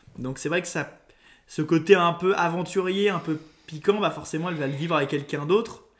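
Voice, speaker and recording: Talking at a fairly quick pace, a man uses a high pitch and fairly even intonation. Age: 20s. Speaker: local radio presenter. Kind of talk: casual chat. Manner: halting.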